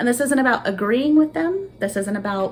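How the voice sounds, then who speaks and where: A woman speaks at a moderate pace. Noticeable background noise runs beneath her. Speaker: vlogger, student. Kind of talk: unscripted monologue. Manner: animated, energetic.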